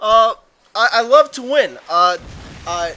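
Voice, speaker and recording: A man uses a raised, projected voice over noticeable background noise. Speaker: gaming commentator. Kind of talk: gameplay commentary. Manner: fast; loud.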